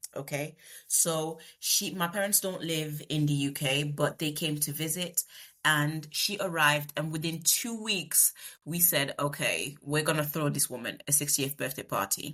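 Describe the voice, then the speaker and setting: Speaking at a moderate pace with a Congolese accent, a woman has a very deep, low pitch, a bright, sharp tone and fairly even intonation. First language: Lingala. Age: 30s. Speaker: project manager. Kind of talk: podcast interview. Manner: eloquent.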